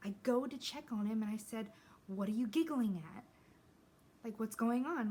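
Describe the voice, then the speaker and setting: This woman's fairly high voice has a dark, mellow tone, a somewhat breathy quality and ordinary pitch variation. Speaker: beauty vlogger. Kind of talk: casual get-ready-with-me chat. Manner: casual, filler-heavy; quiet.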